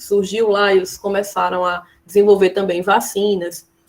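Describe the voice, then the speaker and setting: A woman with a Brazilian accent talks at a fairly slow pace. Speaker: schoolteacher. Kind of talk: lecture.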